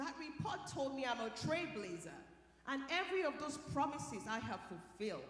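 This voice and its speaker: In a Nigerian accent, a woman speaks at a moderate pace with a high pitch and very wide pitch swings, over noticeable background noise and audible room echo. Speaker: scientist and keynote speaker. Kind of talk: motivational keynote talk. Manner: animated.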